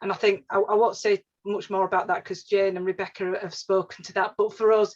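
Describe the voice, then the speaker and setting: Here a woman talks at a fairly quick pace. Her voice has a medium pitch and comes with a Yorkshire accent. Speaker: regional housing advisor. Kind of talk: webinar presentation. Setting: online webinar. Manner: halting, many fillers and restarts.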